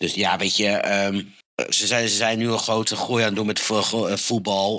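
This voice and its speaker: The man's fairly low-pitched voice has a bright, sharp tone. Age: 30s. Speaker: motorsport podcaster. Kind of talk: casual chat.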